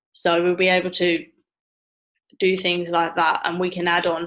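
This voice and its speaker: With an English accent, a woman speaks at a moderate pace in a medium pitch. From England. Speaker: travel agent trainer. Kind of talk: training session via screen share. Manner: casual, halting.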